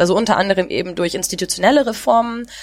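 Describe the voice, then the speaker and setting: This woman has an ordinary speaking voice, pitched in the medium range with ordinary pitch variation. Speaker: podcast host. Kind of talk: casual chat. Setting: recorded remotely, separate locations. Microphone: new headset recording set.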